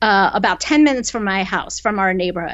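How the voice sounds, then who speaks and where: An American-accented woman's voice. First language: Korean. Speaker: novelist. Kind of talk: interview. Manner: conversational with many fillers.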